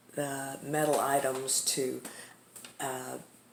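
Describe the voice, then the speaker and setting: A woman with a Texas accent, against noticeable background noise. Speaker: craft seller, journal maker. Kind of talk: product show-and-tell tutorial. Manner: casual, with many fillers.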